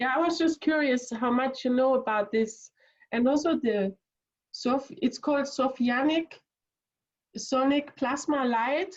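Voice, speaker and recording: With a non-native accent, a woman speaks at a fairly slow pace in a high pitch, showing ordinary pitch variation and very even loudness. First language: not English. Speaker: audience participant. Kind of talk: casual chat. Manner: halting.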